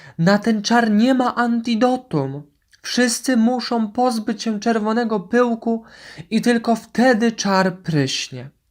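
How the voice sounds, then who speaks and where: In a very clean recording with a silent background, a woman shouts in a shaky, put-on character voice, fairly high in pitch and at a fairly slow pace. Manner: terrified, shouting.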